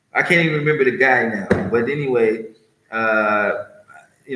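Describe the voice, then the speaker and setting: A man speaks at a medium pitch and a moderate pace. The room's echo is audible. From US West Coast, California. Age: 60s. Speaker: vlogger, martial arts teacher. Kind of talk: personal monologue vlog. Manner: rambling, hesitant with fillers.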